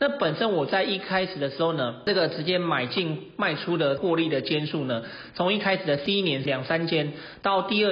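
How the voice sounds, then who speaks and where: Moderate pace over noticeable background noise. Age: 20s. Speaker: real estate investor and podcast host. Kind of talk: educational monologue.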